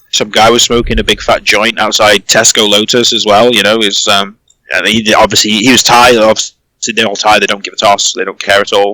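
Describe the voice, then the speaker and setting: A fairly quick, fairly low-pitched male voice, bright and sharp in tone, with monotone, flat intonation. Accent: British. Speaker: online community owner. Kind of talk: interview answer. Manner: casual, hesitant.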